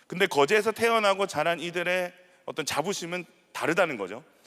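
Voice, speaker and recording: On a very clean recording with a silent background, a man with a fairly high pitch speaks in a bright, sharp tone with vocal fry. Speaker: pastor. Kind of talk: sermon.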